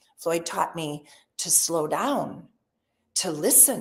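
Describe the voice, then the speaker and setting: A woman is talking. Her tone is animated. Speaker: real estate sales trainer. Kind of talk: webinar training session. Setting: live webinar.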